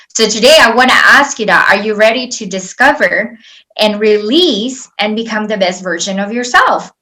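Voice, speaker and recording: Speaking at a moderate pace with a non-native accent, a woman uses a fairly high voice with a bright, sharp tone and ordinary pitch variation. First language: not English. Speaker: life coach. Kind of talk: webinar presentation. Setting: online webinar with slides. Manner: conversational, with fillers.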